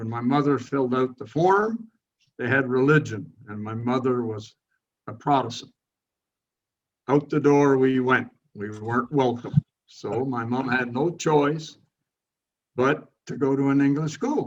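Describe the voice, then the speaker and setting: Speech comes at a fairly slow pace with ordinary pitch variation and long, frequent pauses. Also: man, medium pitch for a man. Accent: Montreal. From Montreal, Quebec. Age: 80s+. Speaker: retired landscape designer. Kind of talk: interview, life story. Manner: halting, with fillers.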